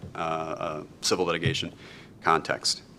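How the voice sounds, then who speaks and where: A man with a Wisconsin accent. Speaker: law lecturer. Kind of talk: lecture. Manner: halting.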